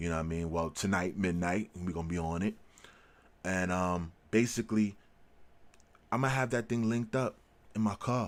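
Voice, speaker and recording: Speaking fairly quickly but with long, frequent pauses, a man with an American accent uses a very deep, low pitch and ordinary pitch variation. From New York. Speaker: tech and gaming YouTuber. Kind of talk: casual vlog commentary. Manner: animated; halting.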